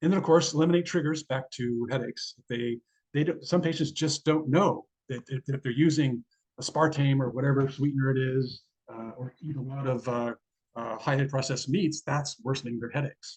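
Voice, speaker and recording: At a fairly quick pace, a man with a fairly high pitch sounds somewhat breathy, his fairly even intonation captured dry and close with no echo. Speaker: neurologist. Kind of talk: lecture. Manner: fast.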